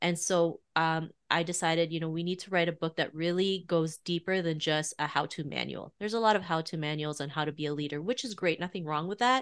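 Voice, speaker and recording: In a very clean recording with a silent background, a woman with a Canadian accent uses an ordinary speaking voice, fairly low in pitch, with ordinary pitch variation at a fairly quick pace. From Canada, Toronto. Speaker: author and podcast host. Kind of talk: interview.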